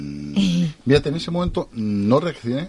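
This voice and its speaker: In a Spanish accent, a man with a medium-pitched voice speaks with very wide pitch swings. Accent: Peninsular Spanish. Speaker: radio co-host and interviewer. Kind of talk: radio interview.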